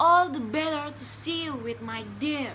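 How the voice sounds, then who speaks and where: The speaker uses a put-on character voice with a high pitch at a moderate pace. Clear background noise is present. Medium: read story.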